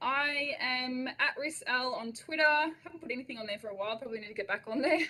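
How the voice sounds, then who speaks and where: Speaking very fast, a woman with an Australian accent has a high voice and ordinary pitch variation. Her loudness swings widely. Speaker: education consultant. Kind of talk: webinar presentation. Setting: online webinar. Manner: animated.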